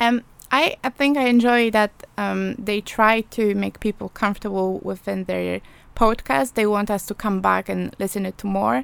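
With a Polish accent, a woman speaks on a very clean recording with a silent background. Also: moderate pace. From Poland. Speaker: journalism student. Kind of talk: casual interview chat. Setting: studio.

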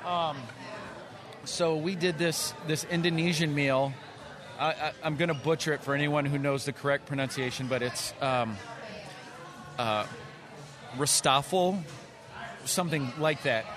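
A man at a fairly high pitch and fairly slow pace, with very even loudness, long, frequent pauses, and noticeable background noise. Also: ordinary pitch variation. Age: 30s. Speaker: drummer and entrepreneur. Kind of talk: casual chat. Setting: restaurant with live recording.

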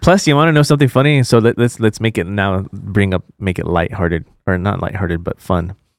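A man with a fairly low pitch and an unremarkable speaking voice talks at a fairly quick pace with lively intonation. The very clean recording has a silent background and a dry, close sound with no echo. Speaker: podcast host. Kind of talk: casual chat. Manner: joking, laughs often.

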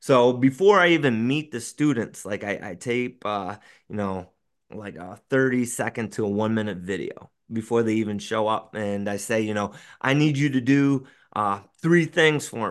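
A man talks at a moderate pace in a medium pitch with ordinary pitch variation. The background is quiet. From rural Western New York, US. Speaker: elementary school teacher and podcast host. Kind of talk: casual interview chat.

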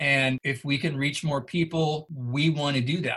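Fairly slow, fairly even speech from a man with a fairly high pitch. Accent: American. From Northern California. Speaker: military historian. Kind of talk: interview.

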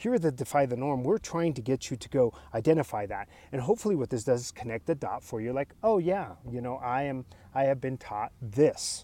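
Lively intonation and big swings in loudness mark this dark, mellow voice with an American accent, moving at a fairly quick pace on a very clean recording with a silent background. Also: man, medium pitch for a man. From US, child of Spanish-speaking immigrants. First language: Spanish. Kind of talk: solo podcast monologue. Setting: outdoors in front of mountains.

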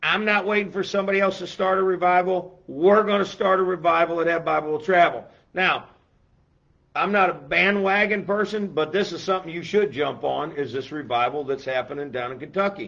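Bright and sharp in tone, a man speaks at a high pitch with an animated tone and ordinary pitch variation. His pace is fairly quick against a quiet background. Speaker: church pastor hosting a Bible show. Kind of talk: casual Bible talk show. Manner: animated, raised voice.

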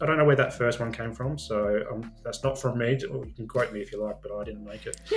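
A man with an Australian accent talks at a very fast pace, with hardly any pauses and big swings in loudness. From Adelaide, South Australia. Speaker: social worker and men's mental health advocate. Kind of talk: interview conversation.

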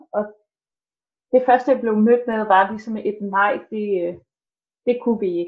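This woman has a fairly high pitch and ordinary pitch variation. She talks at a fairly slow pace. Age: 20s. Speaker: student and fitness trainer, family member of mentally ill person. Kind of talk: casual interview. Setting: video call from home kitchen. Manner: hesitant, many filler sounds.

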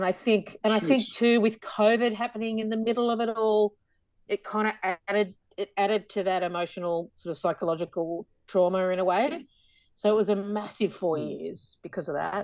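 A woman's medium-pitched voice in an Australian accent with ordinary pitch variation. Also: moderate pace. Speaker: podcast guest, musical theatre actor.

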